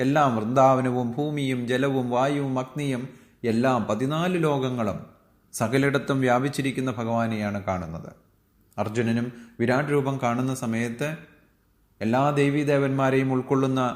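A man's medium-pitched voice carries fairly even intonation, and audible room echo surrounds it. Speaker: Bhagavad Gita teacher. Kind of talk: religious discourse.

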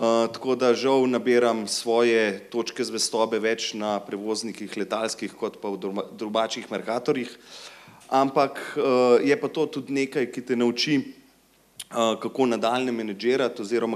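This man has an unremarkable speaking voice at medium pitch. His intonation stays fairly even. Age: 20s. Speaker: company director; panelist. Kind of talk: panel discussion. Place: stage. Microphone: handheld.

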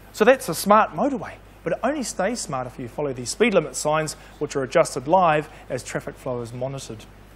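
A man at a fairly quick pace with very wide pitch swings. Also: big swings in loudness. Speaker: presenter. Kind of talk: comic explainer demonstration. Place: studio.

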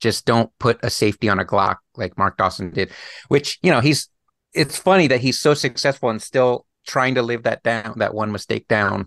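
A man talks in a normal speaking voice at a moderate pace, with a medium pitch and ordinary pitch variation. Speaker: thriller author. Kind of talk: casual interview chat.

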